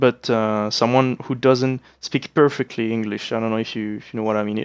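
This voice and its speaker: A speaker with a French accent talks at a fairly quick pace with fairly even intonation over a quiet background. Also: man. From France. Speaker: gaming let's play creator. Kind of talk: let's play commentary. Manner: hesitant, many fillers.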